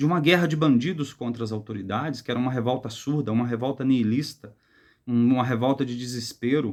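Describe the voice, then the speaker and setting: A man talks in a medium pitch, fairly quick in pace, his pitch varying in an ordinary way. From rural Brazil, countryside village. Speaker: book reviewer. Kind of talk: book review monologue. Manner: careful, hesitant with fillers.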